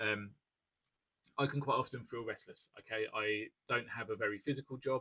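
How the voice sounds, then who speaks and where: Using a British accent, a man with a medium pitch and a bright, sharp tone speaks with fairly even intonation and long, frequent pauses, the sound dry and close with no echo. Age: 30s. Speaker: ADHD coach and content creator. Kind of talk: educational talk to camera. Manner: fast; hesitant, many fillers.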